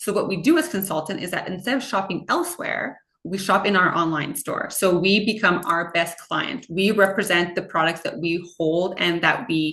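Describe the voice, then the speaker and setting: A woman speaks in an animated tone at medium pitch, with ordinary pitch variation and hardly any pauses. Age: 30s. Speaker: direct sales consultant. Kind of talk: sales pitch. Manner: fast.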